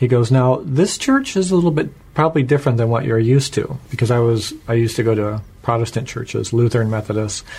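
Speaking at a very fast pace, a man with an American accent uses a medium pitch and ordinary pitch variation. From Washington State, US. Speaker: church member giving testimony. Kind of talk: testimony.

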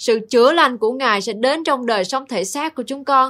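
On a very clean recording with a silent background, a woman speaks at a moderate pace in a high, bright, sharp voice with ordinary pitch variation. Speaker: Bible teacher.

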